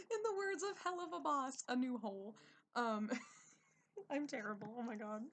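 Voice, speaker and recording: Speaking in an American accent, a woman moves through very wide pitch swings. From United States. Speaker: streamer. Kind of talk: casual storytelling. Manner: casual, many fillers.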